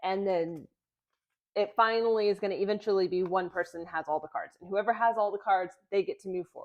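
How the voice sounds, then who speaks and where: It is an unremarkable speaking voice. The intonation stays fairly even. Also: woman. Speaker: music teacher running a game channel. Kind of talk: tutorial.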